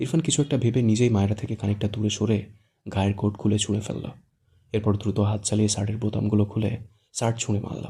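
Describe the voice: This is plain reading aloud. The background stays quiet.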